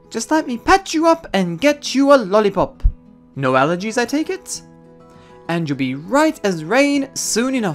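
Faint music plays behind a put-on character voice that moves at a fairly slow pace with big pitch swings. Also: man, high pitch for a man.

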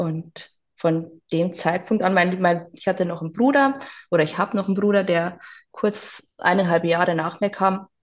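A woman with an unremarkable speaking voice, medium pitch, a moderate pace and ordinary pitch variation. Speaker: interview guest sharing life story. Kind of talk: personal testimony.

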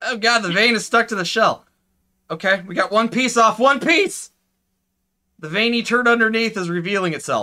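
A man's raised, projected voice with a bright, sharp tone, ordinary pitch variation and a moderate pace against a quiet background. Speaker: live streamer. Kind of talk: casual live-stream chat. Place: home room.

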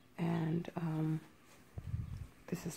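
Over light background noise, a woman's fairly low voice has a dark, mellow tone and vocal fry. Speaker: home vlogger. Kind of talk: casual vlog chat. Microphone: phone near.

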